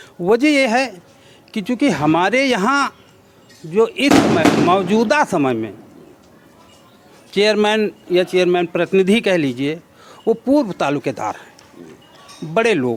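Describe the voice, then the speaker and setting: A man speaks in a high voice. He pauses often and at length, with noticeable background noise. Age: 60s. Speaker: local politician. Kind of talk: interview.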